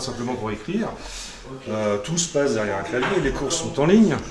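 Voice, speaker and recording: At medium pitch, a man talks at a very fast pace amid audible room echo and noticeable background noise. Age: old. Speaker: interviewer. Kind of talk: interview.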